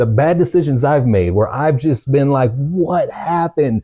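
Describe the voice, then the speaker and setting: A man's somewhat breathy voice with a dark, mellow tone, ordinary pitch variation and a moderate pace over a quiet background. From Truckee, California; California. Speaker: pastor's son sharing testimony. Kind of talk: testimony. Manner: halting. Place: home room. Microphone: lapel.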